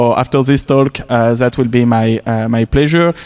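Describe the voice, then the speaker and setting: Fairly quick and with fairly even intonation, a man speaks in a French accent, the sound dry and close with no echo. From Quebec City, Canada. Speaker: conference speaker, tech professional. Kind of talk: conference talk. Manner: hesitant, many fillers.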